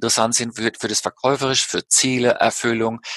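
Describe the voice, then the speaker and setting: A man's bright, sharp voice at a moderate pace, dry and close with no echo. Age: 50s. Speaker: life coach and feng shui consultant. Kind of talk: interview. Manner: hesitant with fillers.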